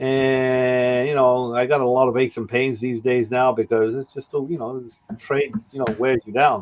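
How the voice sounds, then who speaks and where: A man at a medium pitch and a moderate pace. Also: fairly even intonation, hardly any pauses. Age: 60s. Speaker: tile installer. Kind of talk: podcast interview. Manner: halting.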